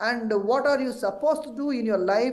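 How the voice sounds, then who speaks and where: A man's extremely high-pitched voice with ordinary pitch variation, set in audible room echo. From South India. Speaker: temple activist and commentator. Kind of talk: TV news interview. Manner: halting, many false starts.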